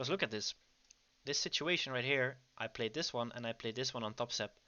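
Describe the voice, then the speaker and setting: Here a man talks at a fairly quick pace with a Dutch accent. His pitch sits in the medium range. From Netherlands. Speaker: trading educator. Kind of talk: livestream trading commentary. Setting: online livestream. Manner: casual, with many fillers.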